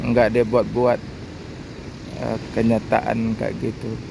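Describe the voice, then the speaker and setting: A man's monotone, flat voice at a medium pitch, with noticeable background noise. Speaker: bus-spotting vlogger. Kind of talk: casual vlog commentary. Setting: outdoors at a bus terminal. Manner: halting, hesitant.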